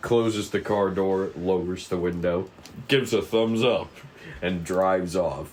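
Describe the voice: The man talks slowly at a low pitch. His tone is slightly mellow, with ordinary pitch variation.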